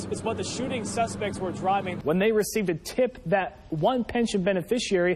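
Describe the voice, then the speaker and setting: A man talks in a high voice, his pitch varying in an ordinary way, while noticeable noise plays behind him. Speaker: TV news reporter and anchor. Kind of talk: TV news report and anchor read.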